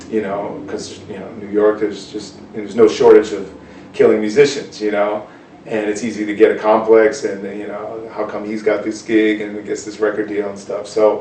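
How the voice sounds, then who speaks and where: A man's fairly low voice, flat and monotone, swings widely in loudness amid audible room echo and noticeable background noise. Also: moderate pace. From US Northeast (Cambridge, Massachusetts). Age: 40s. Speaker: jazz guitarist. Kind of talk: interview. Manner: casual, hesitant with many fillers.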